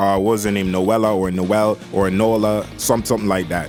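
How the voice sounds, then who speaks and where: A man speaks in a relaxed tone at a moderate pace and a fairly low pitch. Music plays in the background. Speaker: anime reviewer. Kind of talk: casual talk to camera. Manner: casual, relaxed.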